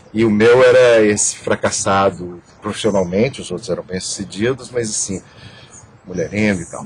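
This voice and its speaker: At a moderate pace, a man speaks at a fairly low pitch with fairly even intonation and big swings in loudness over noticeable background noise. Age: 60s. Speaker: theatre director and actor. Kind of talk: interview. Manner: halting, many repetitions.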